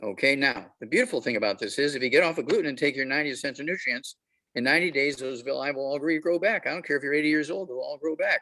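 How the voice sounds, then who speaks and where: Very fast delivery from a man, his pitch fairly high, with ordinary pitch variation. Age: 80s+. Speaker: health supplement promoter. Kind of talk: talk to club meeting.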